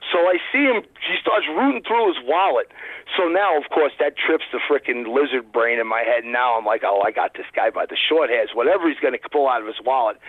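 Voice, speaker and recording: This man talks with an American accent. He moves along at a fairly quick pace. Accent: New York Brooklyn accent, adjustable. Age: 50s. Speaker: guest. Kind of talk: casual chat, storytelling. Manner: animated.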